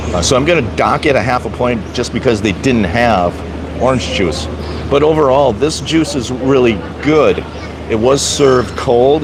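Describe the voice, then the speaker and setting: A man's medium-pitched voice at a moderate pace, with ordinary pitch variation, audible room echo and noticeable background noise. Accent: Wisconsin. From US Midwest, Wisconsin. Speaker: vlogger, live streamer. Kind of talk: live stream food review. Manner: casual, hesitant with fillers.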